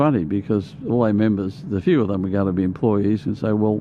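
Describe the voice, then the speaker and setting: A man speaks at a fairly quick pace with an Australian accent. His pitch is fairly low and his intonation is lively. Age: 70s. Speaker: conservative activist and union organiser. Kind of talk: casual interview chat. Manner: halting, repetitive.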